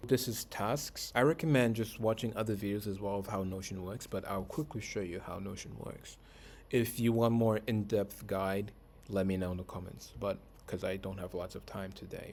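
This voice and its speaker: This man has a fairly low pitch and ordinary pitch variation. It is an unremarkable speaking voice. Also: moderate pace. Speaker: author and content creator for artists. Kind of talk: software tutorial walkthrough.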